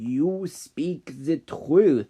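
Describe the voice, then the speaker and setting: A man's growling, put-on character voice, fairly high in pitch. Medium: read story. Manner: calm, knowing, slightly amused.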